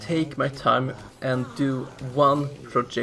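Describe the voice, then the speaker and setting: Loud and fairly high-pitched, a man speaks over noticeable background noise. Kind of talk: casual channel update voiceover. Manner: speaking somewhat loudly.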